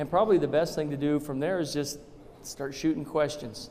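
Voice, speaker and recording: Using an ordinary speaking voice with an American accent, a man talks at a fairly quick pace in a fairly high pitch with fairly even intonation. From Arizona, Tucson. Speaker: state legislator. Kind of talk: public talk.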